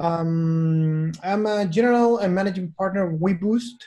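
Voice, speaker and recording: A man with a Chilean accent, high in pitch, dark and mellow in tone, with ordinary pitch variation. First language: Spanish. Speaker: venture capital investor. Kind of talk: webinar talk. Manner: halting.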